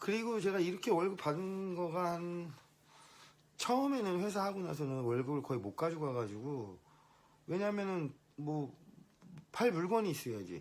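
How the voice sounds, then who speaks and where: A man speaks at a high pitch with very wide pitch swings. He leaves long, frequent pauses. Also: moderate pace. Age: 50s. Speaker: business owner. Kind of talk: casual monologue vlog. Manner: hesitant, with false starts.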